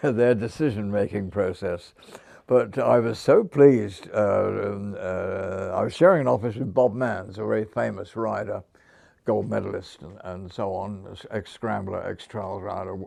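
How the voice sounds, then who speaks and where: Loudness swings widely as a man with a Hampshire accent speaks at a fairly slow pace. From southern England (Hampshire). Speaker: former motorcycle sales manager. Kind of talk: interview storytelling. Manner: halting, many fillers; stammers slightly.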